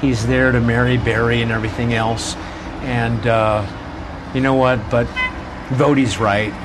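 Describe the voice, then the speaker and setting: A man with a medium pitch speaks at a fairly slow pace in a monotone, flat intonation, with very even loudness. Long, frequent pauses break up his speech, and there is noticeable background noise. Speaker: pastor and radio host. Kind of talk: casual chat. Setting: outdoors.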